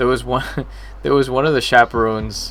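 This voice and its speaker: Music plays in the background behind a soft-spoken man with an American accent. He talks at a moderate pace. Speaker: game developer streaming. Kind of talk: casual live stream chat. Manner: soft, low volume.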